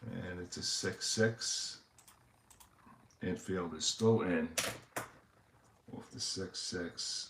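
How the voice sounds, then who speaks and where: A man with a New York accent talks at a very slow pace with long, frequent pauses, his very deep, low pitch carrying fairly even intonation amid big swings in loudness. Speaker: tabletop baseball game streamer. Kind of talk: play-by-play commentary of a tabletop game. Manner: hesitant, many fillers.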